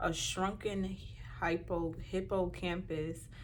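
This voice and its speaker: A woman is speaking. Room echo can be heard around her. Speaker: motivational speaker. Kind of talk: talk to camera. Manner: halting.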